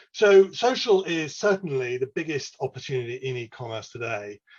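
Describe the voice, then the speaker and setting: A man with an English accent sounds somewhat breathy and uses lively intonation. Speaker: e-commerce analyst presenter. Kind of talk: webinar presentation. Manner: casual, filler-heavy.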